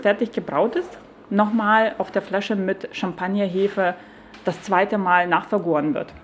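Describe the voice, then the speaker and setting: Fairly slow speech in a Lithuanian accent. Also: woman. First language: Lithuanian (speaking German). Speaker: beer sommelier and brewery owner. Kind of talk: casual interview over lunch. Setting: broadcaster's canteen. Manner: hesitant, many fillers.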